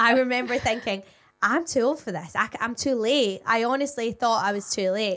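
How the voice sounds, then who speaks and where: In a British accent, a woman talks at a fairly quick pace with a fairly high pitch and ordinary pitch variation. The recording is very clean, with a silent background. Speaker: radio and television presenter, podcast co-host. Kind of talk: casual chat.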